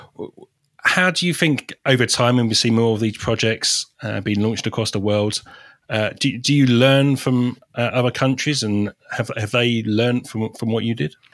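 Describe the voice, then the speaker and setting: The speaker has a British accent. The pace is moderate and the pitch variation ordinary. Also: man, medium pitch for a man. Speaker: podcast host. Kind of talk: interview.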